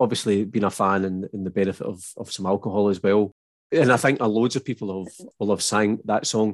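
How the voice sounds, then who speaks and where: This man speaks fairly quickly in a west of Scotland accent, with a fairly low pitch and fairly even intonation. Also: quiet background. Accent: west of Scotland Scottish. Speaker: podcast host. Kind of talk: casual interview chat.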